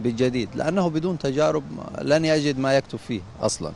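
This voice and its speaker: A man's voice at a moderate pace. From Upper Egypt, Sohag. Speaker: poet. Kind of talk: interview. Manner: halting, many fillers.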